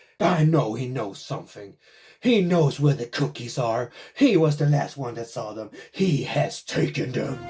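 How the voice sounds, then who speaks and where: A growling, put-on character voice is heard. Faint music plays in the background. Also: man, fairly high pitch for a man, moderate pace. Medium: actual play. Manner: harsh, accusing.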